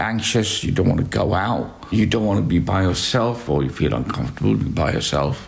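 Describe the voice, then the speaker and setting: Noticeable background noise and audible room echo surround a man with a fairly low pitch and lively intonation, talking at a moderate pace. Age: 60s. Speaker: hospice patient. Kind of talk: interview. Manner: halting.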